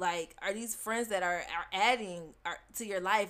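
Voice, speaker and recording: Using an ordinary speaking voice, a woman talks at a fairly slow pace, her pitch medium with ordinary pitch variation. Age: 20s. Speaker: podcast co-host. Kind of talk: casual chat. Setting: same room as co-host.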